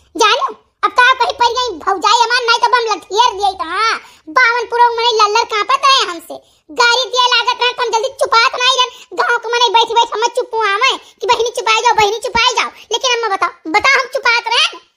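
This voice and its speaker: In a cartoonish character voice pitched extremely high, a woman talks at a moderate pace with fairly even intonation. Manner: combative, scornful.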